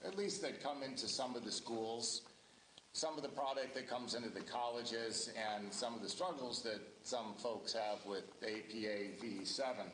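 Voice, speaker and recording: With a Midwestern US accent, the speaker talks at a moderate pace with ordinary pitch variation, amid noticeable background noise and audible room echo. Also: man. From Ohio. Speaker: local election candidate. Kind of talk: candidate introduction at public forum. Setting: public forum with audience and microphone. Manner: loud.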